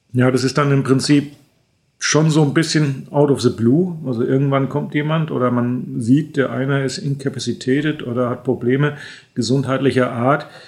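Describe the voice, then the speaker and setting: A man's medium-pitched voice moves at a moderate pace with fairly even intonation. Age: 50s. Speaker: airline training captain. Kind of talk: expert interview. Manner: hesitant fillers (äh).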